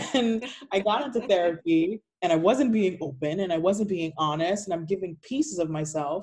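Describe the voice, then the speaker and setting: With a plain, everyday voice at a medium pitch, a woman talks at a moderate pace with lively intonation. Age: 20s. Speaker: patient sharing chronic illness story. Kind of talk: casual interview chat.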